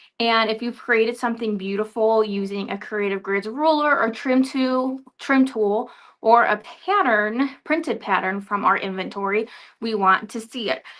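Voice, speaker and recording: At a fairly slow pace, a woman speaks with fairly even intonation and a fairly high pitch. The background is quiet. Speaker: livestream presenter for a quilting supplies distributor. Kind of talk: live product showcase stream. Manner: loud.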